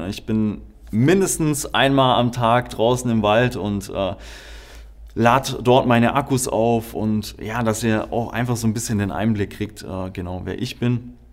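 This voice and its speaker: In an ordinary speaking voice, a man talks at a medium pitch and a fairly slow pace with ordinary pitch variation. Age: 20s. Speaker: podcast host. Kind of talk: podcast introduction monologue.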